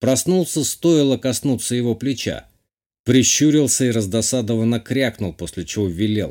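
A natural voice reads aloud with ordinary pitch variation, the background quiet.

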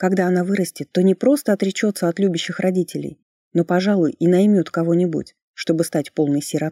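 Quiet background behind a natural reading voice

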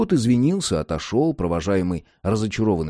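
The speaker reads a passage aloud. The voice sounds natural.

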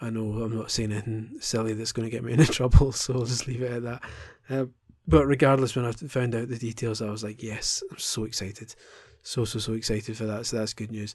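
Somewhat breathy and in a monotone, flat intonation, a man speaks at a very fast pace. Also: medium pitch for a man. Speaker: video game podcaster. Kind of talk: casual solo podcast monologue. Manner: halting, many ums.

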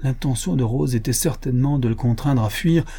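The speaker is reading aloud in a natural voice, and the pitch moves up and down in an ordinary way.

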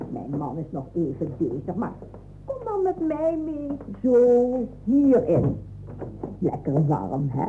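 Faint background noise sits behind a woman doing a put-on character voice at a slow pace. Her tone is dark and mellow, with fairly low pitch and very wide pitch swings.

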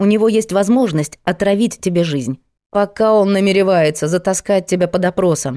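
Set against a quiet background, an unforced reading voice carries ordinary pitch variation.

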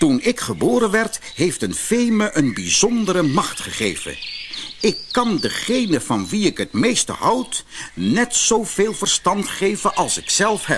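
This is a put-on character voice with a fairly bright tone and very wide pitch swings. It moves at a fairly slow pace over faint background noise. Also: man, high pitch for a man.

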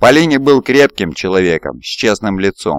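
Here is a natural reading voice with lively intonation.

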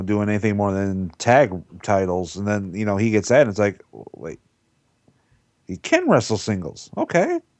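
A man with a plain, everyday voice speaks at a fairly low pitch and a moderate pace. His intonation stays fairly even while his loudness swings widely. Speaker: wrestling podcast panelist. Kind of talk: casual roundtable discussion.

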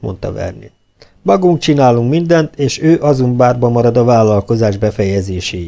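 It is plain reading aloud with lively intonation.

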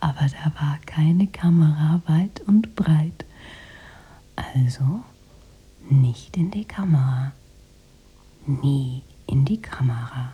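A woman's put-on character voice, low in pitch with a husky, rough edge, ordinary pitch variation, a slow pace and long, frequent pauses

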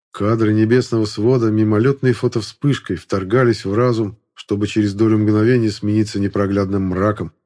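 The text is read aloud plainly, with intonation that stays fairly even.

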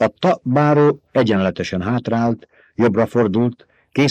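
With little sound in the background, someone reads aloud in a natural voice.

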